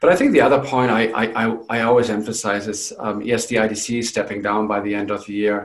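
Speaking with a slight German accent, a man has a fairly low pitch. He moves at a fairly quick pace with hardly any pauses. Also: fairly even intonation. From Germany. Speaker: company CEO. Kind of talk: professional interview.

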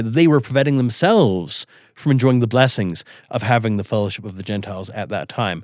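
A medium-pitched man with an American accent, fairly quick, with ordinary pitch variation, in a very clean recording over a silent background. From western Wyoming, US. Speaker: historian of race in the church. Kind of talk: interview on history.

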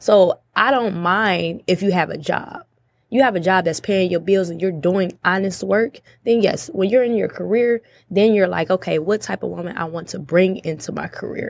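At a moderate pace, a woman speaks at medium pitch in a plain, everyday voice with ordinary pitch variation. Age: 20s. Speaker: podcast guest. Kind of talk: casual chat.

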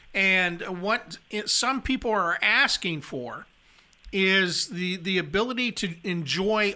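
Recorded very cleanly against a silent background, a man uses a raised, projected voice with a bright, sharp tone, pitched high. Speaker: labor radio talk show host. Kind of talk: casual radio talk show chat. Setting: radio studio.

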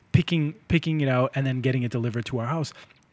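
Recorded in a dry, close sound with no echo, a man with an American accent speaks with lively intonation. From North Shore, Massachusetts (Lynn). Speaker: podcast host. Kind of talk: casual interview.

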